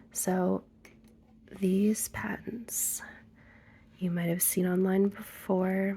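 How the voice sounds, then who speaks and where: Soft-spoken, gentle-toned delivery at a very slow pace. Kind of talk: ASMR ramble to camera about art supplies. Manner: softly spoken, gentle.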